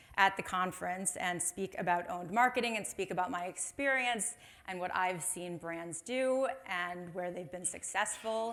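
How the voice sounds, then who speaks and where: This woman talks in a Chicago accent at a moderate pace. Her pitch varies in an ordinary way. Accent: American, Chicago. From US Midwest, Chicago. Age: 30s. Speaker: marketing executive, conference speaker. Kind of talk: conference talk. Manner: casual, chatty.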